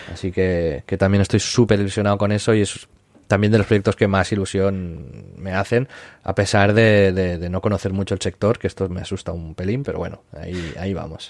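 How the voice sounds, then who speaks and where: Over a silent background in a very clean recording, a man with a fairly low pitch talks at a fairly quick pace with fairly even intonation. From Catalonia, Spain (Maresme, near Barcelona). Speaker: influencer agency founder, former video game journalist. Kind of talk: casual interview. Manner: halting, frequent repetitions.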